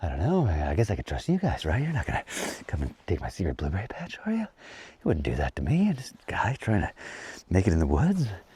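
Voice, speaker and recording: A man talks at a very fast clip in a fairly low voice with a dark, mellow tone. His pitch swings very widely, and there is vocal fry. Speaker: off-grid homesteader vlogger. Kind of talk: casual outdoor vlog narration. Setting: outdoors. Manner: casual, animated; whispering at times.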